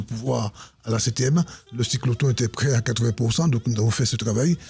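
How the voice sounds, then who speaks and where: Noticeable background noise sits behind the speech. A man talks very fast with fairly even intonation. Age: 60s. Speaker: politician. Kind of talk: interview.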